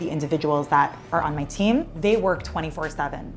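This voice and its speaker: Over music in the background, a woman with an American accent talks at a fairly quick pace. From New York. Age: 30s. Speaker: government social media director. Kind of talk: documentary interview.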